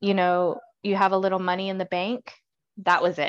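A woman with a plain, everyday voice speaks at a medium pitch and moderate pace against a quiet background. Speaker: guest book discussant. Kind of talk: casual chat about a book. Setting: video call.

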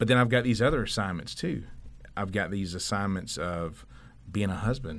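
Audible room echo surrounds a man speaking at a moderate pace. His pitch is fairly low, with ordinary pitch variation. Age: 40s. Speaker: sporting goods retailer owner. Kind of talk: casual interview.

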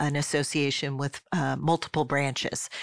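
Speaking at a moderate pace, a woman has an American accent. The recording is very clean with a silent background and a dry, close sound with no echo. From Pennsylvania, Philadelphia area (Swarthmore). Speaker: nonprofit executive director. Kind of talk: interview.

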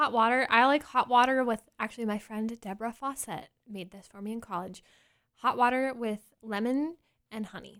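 A woman speaks at a moderate pace in a normal speaking voice, her fairly high pitch showing ordinary variation and her loudness swinging widely. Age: 20s. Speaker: elementary music teacher. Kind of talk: casual interview. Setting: studio.

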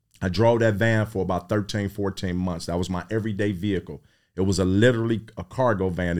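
A man with a fairly low pitch, ordinary pitch variation and a fairly quick pace, on a very clean recording with a silent background. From Cleveland, Ohio (Midtown). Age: 50s. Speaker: real estate investor. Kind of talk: interview.

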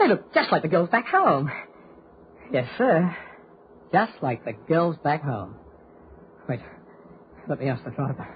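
Putting on a character voice, a man speaks fairly slowly at a fairly high pitch, husky and rough-edged, with big pitch swings and long, frequent pauses.

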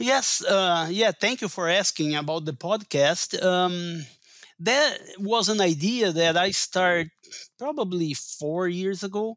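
At a very slow pace, a man with a Portuguese accent speaks in a high pitch, in a very clean recording with a silent background. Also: ordinary pitch variation. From Brazil. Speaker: agronomy professor and forage researcher. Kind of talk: interview.

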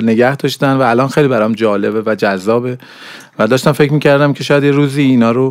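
Talking very fast, a male speaker holds a medium pitch and keeps his intonation fairly even. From Iran, grew up in Zahedan. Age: 40s. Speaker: animation director and university lecturer. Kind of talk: interview. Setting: studio.

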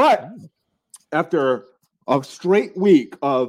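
The speaker is a man whose pitch varies in an ordinary way. The background is quiet. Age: 40s. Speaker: podcast co-host. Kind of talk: casual chat.

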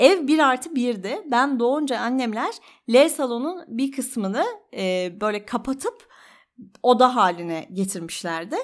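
A woman speaks at a high pitch with very wide swings in her pitch. Her pace is fairly slow. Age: 30s. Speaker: podcaster. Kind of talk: personal monologue.

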